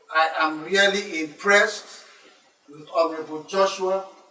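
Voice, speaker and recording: A man's fairly slow, monotone delivery with flat intonation and audible room echo. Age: 70s. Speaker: elder guest commenting on a debate. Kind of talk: speech at a debate.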